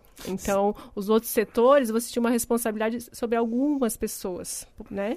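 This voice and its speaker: In a plain, everyday voice, the speaker keeps a moderate pace and fairly even intonation. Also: woman. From Paraná, Brazil, then Santa Catarina from age 12. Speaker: company executive director. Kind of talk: radio interview.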